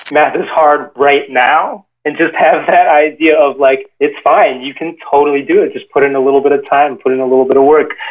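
Speaking at a moderate pace with hardly any pauses, a man with an American accent uses a plain, everyday voice, fairly high in pitch with fairly even intonation. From Chicago, US Midwest. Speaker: engineer, author, consultant. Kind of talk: interview. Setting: video call.

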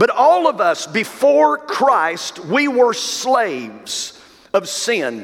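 A man's warm-toned voice at a very slow pace, with noticeable background noise. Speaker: pastor. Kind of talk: sermon, preacher in full flow. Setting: church. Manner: emphatic, rhythmic repetition ("some of you have been sold to the sin of..."); warm, direct, addressing the congregation.

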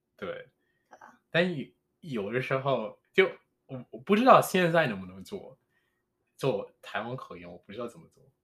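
A fairly high-pitched man with very wide pitch swings, big swings in loudness, and long, frequent pauses. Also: moderate pace. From Jamaica. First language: English (speaking Chinese). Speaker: podcast host. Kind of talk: casual chat. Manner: halting.

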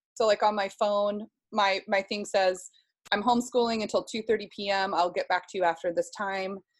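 With an American accent, a woman uses an ordinary speaking voice at a medium pitch, moderate pace and fairly even intonation. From US Pacific Northwest, Seattle. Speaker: homeschooling mother and social media creator. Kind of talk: casual interview chat.

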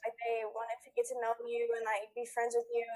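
This woman has a high-pitched voice and an American accent. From United States. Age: young. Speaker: pop singer. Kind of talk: interview.

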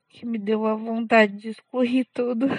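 At a moderate pace, a woman speaks in a fairly high pitch, with a dry, close sound and no echo. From São Paulo, Brazil. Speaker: podcaster. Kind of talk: personal diary monologue. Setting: outdoors walking dog. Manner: halting.

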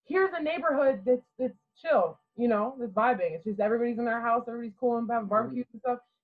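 A woman with an American accent talks at a very fast pace in a high pitch, with big swings in loudness. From Garrett County, Maryland. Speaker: college basketball player. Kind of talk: podcast interview. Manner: quiet-natured but articulate.

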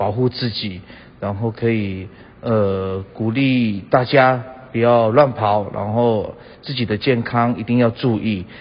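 Somewhat breathy and medium in pitch, a man speaks very slowly with fairly even intonation. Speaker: singer-songwriter. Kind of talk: recorded comment message.

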